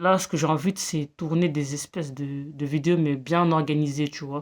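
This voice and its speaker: Intonation stays fairly even as the words come out at a fairly slow pace. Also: woman. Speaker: vlogger. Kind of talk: casual monologue vlog. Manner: halting, many fillers and repetitions.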